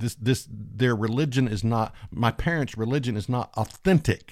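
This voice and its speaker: The recording is very clean, with a silent background and a dry, close sound with no echo. A man with an American accent and a plain, everyday voice speaks at medium pitch and a fairly slow pace. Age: 50s. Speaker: preacher. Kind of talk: sermon.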